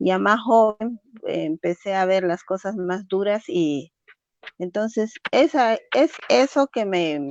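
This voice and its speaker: A woman speaks at a very slow pace and medium pitch with very wide pitch swings. The sound is dry and close, with no echo. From Bolivia, Cochabamba (born in Yungas, La Paz). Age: 40s. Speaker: activist for Afro-Bolivian women. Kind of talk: interview. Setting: phone call on a borrowed phone.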